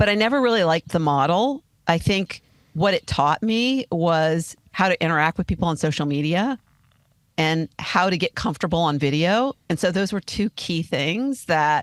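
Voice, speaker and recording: Heard with a dry, close sound and no echo, a woman with an unremarkable speaking voice and a fairly low pitch talks at a moderate pace with lively intonation and very even loudness. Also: very clean recording, silent background. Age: 60s. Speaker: podcast host and life coach. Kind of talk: interview.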